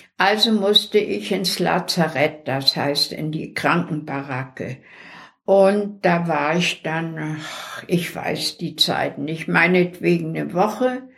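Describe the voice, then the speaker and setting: Speaking very slowly with vocal fry, a woman uses a fairly low pitch and lively intonation. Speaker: deportation survivor. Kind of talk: oral history interview.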